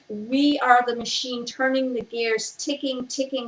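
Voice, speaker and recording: A woman's high voice, monotone and flat, at a fairly slow pace against noticeable background noise. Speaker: spoken word poet. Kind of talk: spoken word poetry reading. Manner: rhythmic, reading from page.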